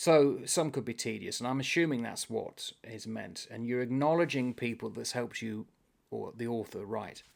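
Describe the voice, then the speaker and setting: A man's medium-pitched, unremarkable speaking voice, ordinary in pitch variation and moderate in pace. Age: 60s. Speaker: booktuber. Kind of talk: casual chat. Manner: rambling, self-correcting.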